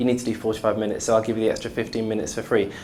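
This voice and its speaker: Amid audible room echo, a man of medium pitch speaks at a very fast pace with monotone, flat intonation. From Coventry, England. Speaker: music education panelist. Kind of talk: panel debate.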